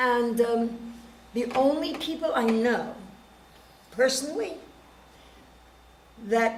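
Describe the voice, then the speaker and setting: Audible room echo surrounds a woman speaking fairly slowly in a fairly high voice with fairly even intonation. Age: 70s. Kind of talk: panel discussion.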